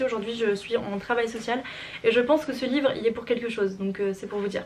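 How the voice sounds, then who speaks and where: Over noticeable background noise, a woman speaks at a very fast pace with a fairly high pitch. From France. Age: 20s. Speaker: social work student. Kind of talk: casual talk to camera, book review. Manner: upbeat.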